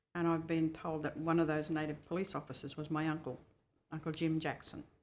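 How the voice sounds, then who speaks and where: Speaking at a fairly quick pace, a woman delivers her words in a monotone, flat intonation with a very deep, low pitch. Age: 70s. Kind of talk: oral history testimony. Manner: hesitant fillers.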